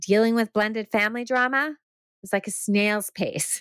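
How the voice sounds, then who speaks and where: The recording is very clean, with a silent background and a dry, close sound with no echo. The speaker talks at a fairly slow pace. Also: woman. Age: 50s. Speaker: life coach and podcast host. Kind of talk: solo podcast monologue.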